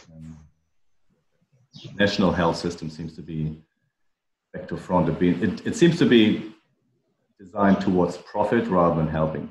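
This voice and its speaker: Speaking with an American accent, a man with a very deep, low pitch keeps a moderate pace, takes long, frequent pauses and swings widely in loudness. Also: fairly even intonation. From outside the US (Europe or Australia). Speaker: member of men's gender equality network. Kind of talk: online group discussion.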